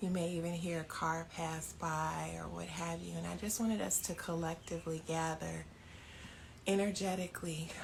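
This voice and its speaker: This soft-spoken woman talks in a room with audible echo. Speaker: yoga and meditation teacher. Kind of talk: guided meditation. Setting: home by an open door, live stream.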